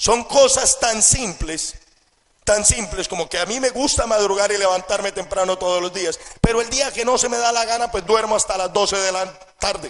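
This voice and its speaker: The man's high pitch shows ordinary variation as he talks at a moderate pace. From Colombia. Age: 20s. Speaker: network marketing entrepreneur. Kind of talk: motivational seminar talk.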